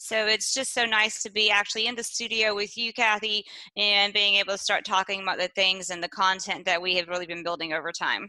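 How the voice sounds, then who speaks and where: With hardly any pauses, a woman speaks at a fairly quick pace in a bright, sharp tone at medium pitch, keeping her intonation fairly even. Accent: Texan. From East Texas. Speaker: podcast co-host. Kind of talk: casual chat. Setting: studio.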